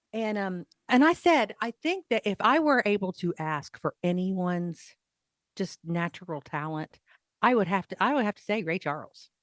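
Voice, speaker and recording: On a very clean recording with a silent background and a dry, close sound with no echo, a woman of medium pitch with a Southern US accent speaks at a moderate pace, with lively intonation and big swings in loudness. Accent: pronounced Southern. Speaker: radio host. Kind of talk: casual chat.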